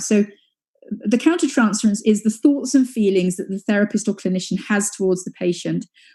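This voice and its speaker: A woman speaks with a British accent in a dark, mellow tone, somewhat breathy. Her medium pitch has ordinary variation. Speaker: psychoanalytic psychotherapist. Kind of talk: conference lecture. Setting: live webinar. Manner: halting, many fillers; fast.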